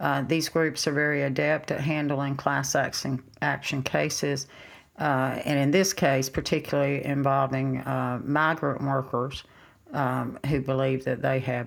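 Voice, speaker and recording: In a flat monotone, a woman with vocal fry speaks fairly slowly at a very deep, low pitch. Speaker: reporter. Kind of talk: interview. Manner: halting.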